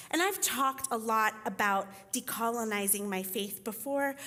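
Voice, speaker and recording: A woman speaks with a Spanish accent and a bright, sharp tone. Her fairly high pitch makes very wide swings. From Costa Rica. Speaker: teaching pastor and writing teacher. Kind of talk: sermon.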